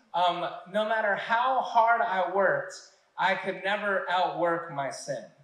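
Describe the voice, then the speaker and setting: Audible room echo surrounds a man who speaks with a high pitch in an American accent. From Texas, Odessa. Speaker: church minister. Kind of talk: testimony. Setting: church. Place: stage.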